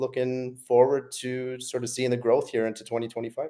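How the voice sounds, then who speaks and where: A man with a Canadian accent, medium pitch, a dark, mellow tone and a fairly quick pace, over a quiet background. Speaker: business coach. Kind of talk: casual group video call. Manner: calm.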